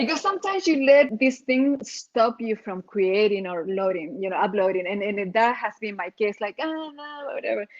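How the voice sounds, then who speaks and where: A woman with a strong Chilean accent speaks at a moderate pace, her fairly high pitch rising and falling in lively intonation. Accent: heavy Chilean Spanish. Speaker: RV nomad vlogger. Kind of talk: casual chat.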